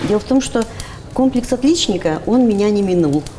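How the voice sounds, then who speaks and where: A woman speaks in an animated tone with lively intonation. Noticeable background noise runs behind her. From Russian Far East, Primorye (Dalnegorsk). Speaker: university lecturer in philology. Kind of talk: casual interview chat. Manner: animated, artistic.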